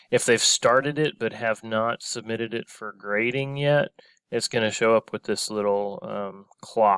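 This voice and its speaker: A man talks at a fairly slow pace in a plain, everyday voice. The recording is very clean and dry, close with no echo, over a silent background. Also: medium pitch for a man, ordinary pitch variation. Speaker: teacher. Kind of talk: tutorial.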